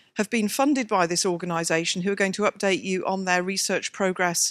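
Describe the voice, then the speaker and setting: A woman with a British accent talks with fairly even intonation. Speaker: scientist and committee chair. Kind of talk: conference introduction. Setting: stage with audience at a conference.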